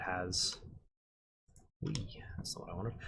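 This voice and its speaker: Somewhat breathy, a man speaks with an Australian accent. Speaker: concept artist and art instructor. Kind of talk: live-stream tutorial. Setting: live stream. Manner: monotone; casual with frequent fillers.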